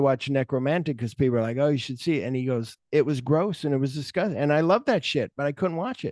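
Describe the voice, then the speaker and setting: The man has an unremarkable speaking voice, pitched fairly high, with ordinary pitch variation. The sound is dry and close, with no echo. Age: 50s. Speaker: film podcast host. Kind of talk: casual chat.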